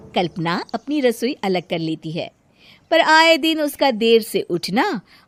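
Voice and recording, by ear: A woman speaks slowly with big pitch swings, in a dry, close sound with no echo.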